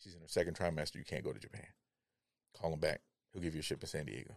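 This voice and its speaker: A man with a Chicago-area accent at a very fast pace. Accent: Chicago-area American English. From US Midwest, Chicago (South Side). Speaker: retired Navy veteran. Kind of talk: casual interview conversation. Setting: studio.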